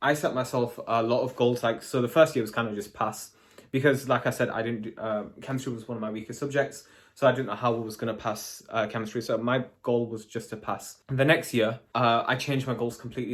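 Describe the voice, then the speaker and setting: A man with a British accent talks at a fairly quick pace in a medium pitch, his intonation monotone and flat. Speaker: chemistry graduate and vlogger. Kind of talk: casual advice vlog. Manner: fast.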